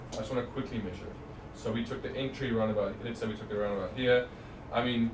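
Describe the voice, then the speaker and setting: There is audible room echo and noticeable background noise. A man speaks very fast in a monotone, flat intonation. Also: medium pitch for a man. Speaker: trading analyst presenter. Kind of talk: live market analysis stream. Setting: live stream. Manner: stutter; casual, conversational.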